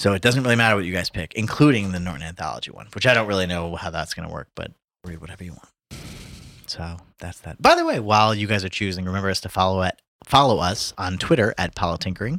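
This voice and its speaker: At a very fast pace, a man with a very deep, low pitch and a bright, sharp tone speaks with ordinary pitch variation on a very clean recording with a silent background. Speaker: podcast host. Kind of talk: casual chat.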